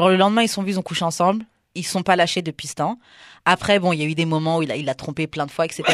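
A woman speaks at a very fast pace in a fairly low pitch, with fairly even intonation. The sound is dry and close with no echo, on a very clean recording with a silent background. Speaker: podcast host and radio DJ. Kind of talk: casual chat.

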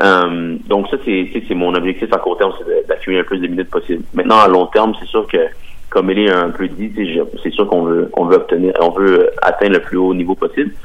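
A man speaks fairly quickly while noticeable background noise continues behind him. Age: 20s. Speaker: professional soccer player. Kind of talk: interview.

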